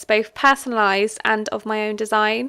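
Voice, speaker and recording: Over a silent background in a very clean recording, a woman with a fairly high pitch and a bright, sharp tone speaks at a moderate pace. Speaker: online seller. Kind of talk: casual tutorial talk to camera. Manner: hesitant, rambling, with fillers.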